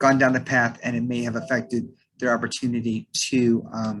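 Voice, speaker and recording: Delivering his words at a moderate pace, this man holds a medium pitch in a monotone, flat intonation. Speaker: staffing firm owner. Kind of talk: presentation on video call. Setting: zoom call. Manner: hesitant, many fillers.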